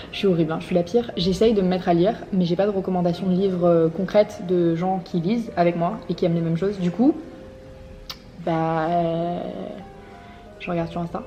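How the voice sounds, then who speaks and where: There is noticeable background noise as a woman talks at a fairly quick pace. Her voice sits at medium pitch with fairly even intonation. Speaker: lifestyle vlogger. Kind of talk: casual vlog talk to camera. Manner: fast.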